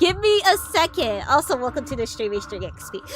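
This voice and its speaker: A woman speaks fairly quickly. Behind her, music is playing. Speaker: vtuber streamer. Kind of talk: casual live stream chat. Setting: live stream. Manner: halting, many fillers and repeats.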